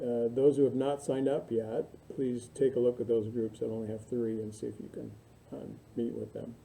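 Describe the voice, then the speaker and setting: This man has a dark, mellow tone at medium pitch and fairly even intonation. He keeps a moderate pace, with big swings in loudness. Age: 60s. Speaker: university instructor. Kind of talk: recorded lecture to online students. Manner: casual, halting with many fillers.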